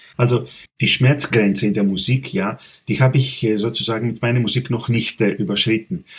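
This man has a Greek accent and a medium pitch with ordinary pitch variation. His voice is somewhat breathy, and he talks at a moderate pace. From Greece, Athens. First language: Greek (speaking German). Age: 40s. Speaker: composer. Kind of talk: interview.

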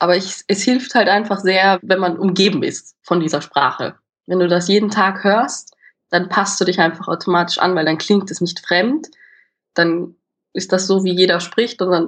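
This woman has an Austrian accent and a moderate pace. Her intonation is fairly even. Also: medium pitch for a woman. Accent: Austrian colouring. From Austria, Vienna. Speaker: drama student. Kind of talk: casual interview. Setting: video call.

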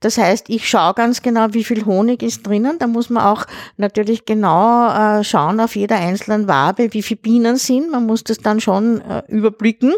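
A woman with an unremarkable speaking voice talks at a moderate pace and a fairly high pitch, using ordinary pitch variation and hardly any pauses, in a dry, close sound with no echo. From Austria, Lower Austria near Vienna. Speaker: retired school principal and beekeeper. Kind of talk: casual chat.

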